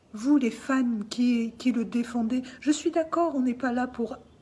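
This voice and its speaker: A woman's fairly high voice at a very slow pace. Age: 60s. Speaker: artist speaking out about family dispute. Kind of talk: personal testimony. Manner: emotional, insistent.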